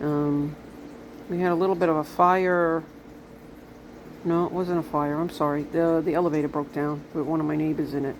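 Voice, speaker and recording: Here is a woman with a Brooklyn accent and a very deep, low pitch. She speaks at a moderate pace with fairly even intonation. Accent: New York (Brooklyn). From Brooklyn, New York City. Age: 60s. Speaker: vlogger. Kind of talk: casual monologue vlog.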